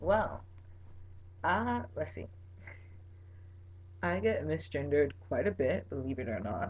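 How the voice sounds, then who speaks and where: A man with a fairly low, somewhat breathy voice talks at a fairly slow pace. His intonation is lively, broken by long, frequent pauses. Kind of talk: casual vlog. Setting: webcam recording at home. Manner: animated.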